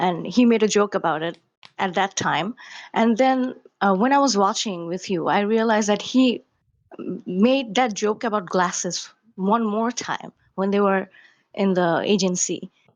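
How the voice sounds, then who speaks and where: This woman has a medium pitch and ordinary pitch variation. She talks at a moderate pace with a non-native accent. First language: not English. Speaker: caller to a livestream. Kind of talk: casual question on a stream call. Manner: halting, with self-corrections.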